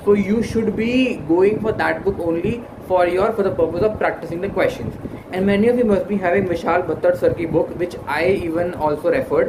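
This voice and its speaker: A man with a high pitch talks at a fairly quick pace with ordinary pitch variation. Noticeable background noise and audible room echo fill the recording. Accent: Indian. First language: Hindi. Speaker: exam preparation YouTuber. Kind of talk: tutorial. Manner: halting, many fillers.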